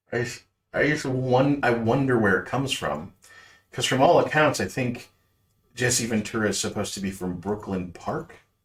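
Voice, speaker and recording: With an American accent, a man talks at a moderate pace in a somewhat breathy voice with ordinary pitch variation. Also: medium pitch for a man. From Minnesota, Minneapolis city neighborhoods. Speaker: art stream co-host. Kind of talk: casual chat.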